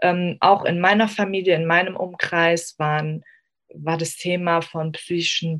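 The woman's voice is fairly low. She delivers her words in a monotone, flat intonation. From Germany, Afghan family. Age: 20s. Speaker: psychology student. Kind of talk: interview.

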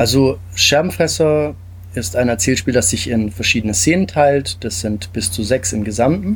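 Fairly slow speech comes in a somewhat breathy voice. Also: man. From Stuttgart area, Germany. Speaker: game designer. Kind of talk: interview.

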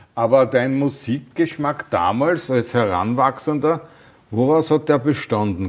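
A man talks in a normal speaking voice at a moderate pace with ordinary pitch variation. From Austria. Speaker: podcast host. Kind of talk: interview.

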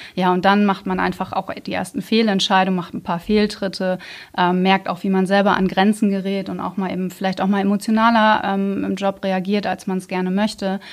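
On a very clean recording with a silent background, a woman speaks fairly quickly at a medium pitch with monotone, flat intonation. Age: 30s. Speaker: team manager. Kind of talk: casual interview.

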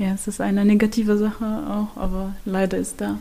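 Over noticeable background noise, a woman with a medium pitch talks at a moderate pace. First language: Arabic (speaking German). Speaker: prevention project worker. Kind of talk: casual chat. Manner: halting.

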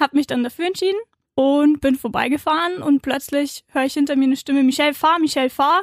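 A high-pitched woman at a very fast pace, fairly even intonation, dry, close sound with no echo. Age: 20s. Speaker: author. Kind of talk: casual chat.

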